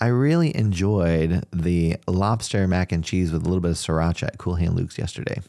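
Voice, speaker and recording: Very deep and low, a man's voice moves at a fairly quick pace with hardly any pauses, very even loudness and ordinary pitch variation. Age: 40s. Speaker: youth pastor. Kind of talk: interview. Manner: measured, thoughtful; calm, low-key.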